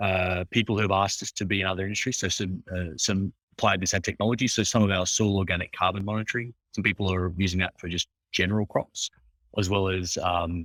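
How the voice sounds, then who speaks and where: A man with an Australian accent, very deep and low in pitch, monotone and flat, at a very fast pace in a dry, close sound with no echo. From Australia, Hunter Valley. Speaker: agritech startup founder. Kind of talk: interview. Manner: halting, many fillers and restarts.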